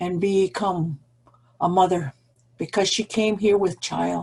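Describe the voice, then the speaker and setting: A woman talks at a fairly slow pace, her voice somewhat breathy. Her intonation stays fairly even. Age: old. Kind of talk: speech. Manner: shaky; halting.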